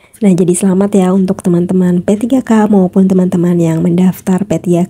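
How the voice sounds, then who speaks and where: With noticeable background noise, a woman of medium pitch talks at a fairly quick pace in a monotone, flat delivery. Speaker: YouTuber sharing news for teacher candidates. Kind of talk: reading aloud an article with commentary. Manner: casual with frequent fillers.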